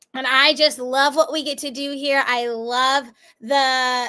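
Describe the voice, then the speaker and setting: A woman with a high pitch uses a raised, projected voice with a bright, sharp tone. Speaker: math tutor. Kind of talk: live online tutoring session.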